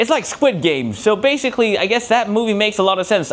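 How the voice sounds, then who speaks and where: A man with an American accent at a fairly quick pace, with very wide pitch swings and noticeable background noise. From Korean, raised in London, Turkey and Germany. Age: 20s. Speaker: actor and solo stage performer. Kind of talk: solo stage show. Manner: casual, hesitant with fillers.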